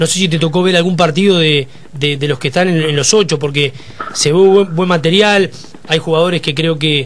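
An unremarkable speaking voice, this man with a fairly high pitch talks at a moderate pace with ordinary pitch variation over light background noise. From Uruguay. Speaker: sports radio host. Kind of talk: radio interview. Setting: radio studio. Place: studio. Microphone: studio mic.

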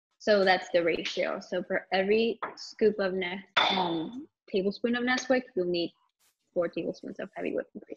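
Noticeable noise sits in the background. The pitch varies in an ordinary way. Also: woman, moderate pace. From Colombia, moved around. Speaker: food content creator. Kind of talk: casual chat. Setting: Instagram live stream. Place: kitchen. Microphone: phone near.

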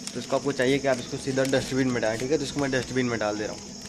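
Noticeable background noise sits behind a man speaking. He talks at a fairly quick pace with ordinary pitch variation. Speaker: travel vlogger. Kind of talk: casual vlog chat. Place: station. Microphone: phone near.

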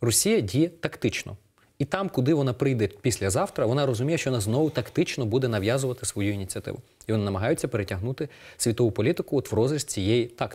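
Over a quiet background, a man with a medium pitch speaks at a very fast pace in a somewhat breathy voice with lively intonation. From eastern Ukraine, Donetsk region (Horlivka); Donetsk region, Ukraine. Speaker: political analyst. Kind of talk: TV interview. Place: studio. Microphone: lapel.

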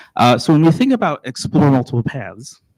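Dry and close with no echo, a man in a slight Texan accent speaks at a fairly quick pace on a very clean recording with a silent background. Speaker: school district administrator. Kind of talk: presentation to school board. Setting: board meeting at podium. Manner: halting, frequent fillers and restarts.

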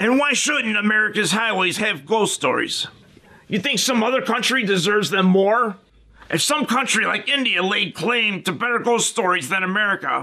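A man uses a put-on character voice with a high pitch. He projects it in a raised voice at very even loudness. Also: moderate pace. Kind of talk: comedic parody show hosting.

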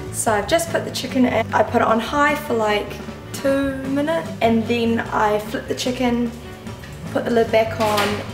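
A woman talks fairly slowly while clear music is heard in the background. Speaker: vlogger. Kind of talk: casual vlog chat. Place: kitchen. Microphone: phone near.

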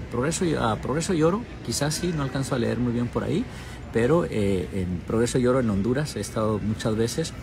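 A man at a fairly quick pace with lively intonation, over noticeable background noise. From Mexico, Durango. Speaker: TV journalist. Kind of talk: casual livestream chat. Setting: airport. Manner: hesitant, many fillers. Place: station. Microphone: earbuds.

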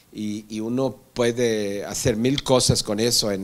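This is a man speaking. He talks in a Brazilian accent. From Brazil, Rio de Janeiro. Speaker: moderator, interviewer. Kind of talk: moderated panel conversation. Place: classroom. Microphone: handheld.

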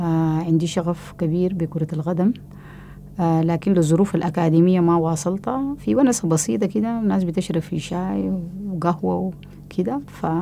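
A woman's fairly low voice with lively intonation, over light background noise. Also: moderate pace. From Sudan. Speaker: women's football activist. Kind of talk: testimony. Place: home room. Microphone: lapel.

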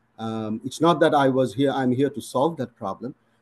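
Dark, mellow tone from a man. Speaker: physician. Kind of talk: interview Q&A. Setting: video call. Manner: formal. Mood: reflective, earnest. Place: home room. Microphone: video call.

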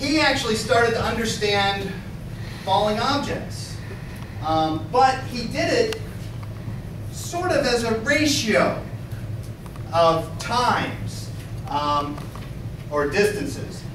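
With long, frequent pauses, a man speaks at a very slow pace amid noticeable background noise and audible room echo. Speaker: lecturer. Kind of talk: lecture. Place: classroom. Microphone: camera far.

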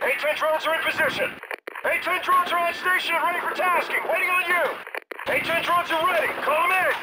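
This is a put-on character voice with a bright, sharp tone and ordinary pitch variation. It moves at a fairly quick pace over faint background noise. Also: man, extremely high pitch for a man.

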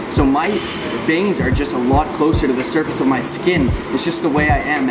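A man at a fairly quick pace with music in the background. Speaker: fitness creator. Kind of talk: casual fitness tutorial. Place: gym. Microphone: phone near.

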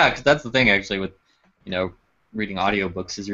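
The background stays quiet. A natural voice reads aloud, pitch varying in an ordinary way.

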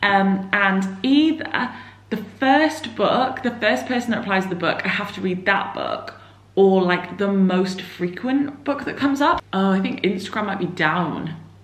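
A woman talks at a fairly slow pace with lively intonation amid audible room echo. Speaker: book vlogger. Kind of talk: vlog, casual monologue to camera. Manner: chatty, informal. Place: home room. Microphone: phone near.

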